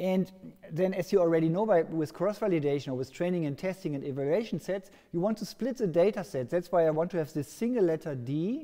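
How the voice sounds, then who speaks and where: A man talks at a very fast pace with a high pitch and a dark, mellow tone. The background is quiet. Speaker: lecturer. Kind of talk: lecture. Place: hall.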